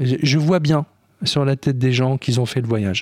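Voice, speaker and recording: A man talks at a fairly slow pace and medium pitch with ordinary pitch variation, the sound dry and close with no echo. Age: 60s. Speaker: film director. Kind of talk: interview.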